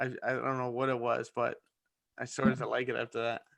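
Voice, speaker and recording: Here is a fairly quick voice with a New Jersey accent and a bright, sharp tone. The recording is very clean with a silent background. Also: man. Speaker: forex trading mentor. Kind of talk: live-stream trading session chat.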